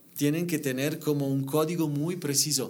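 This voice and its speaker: A fairly high-pitched man with an Italian accent, at a moderate pace with ordinary pitch variation, amid noticeable background noise. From Italy. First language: Italian (speaking Spanish). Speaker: interior designer. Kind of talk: podcast interview. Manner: halting.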